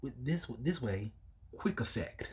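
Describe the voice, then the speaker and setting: There are very wide pitch swings in this man's somewhat breathy voice. He keeps a moderate pace. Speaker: YouTuber card game reviewer. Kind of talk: deck showcase reading card text.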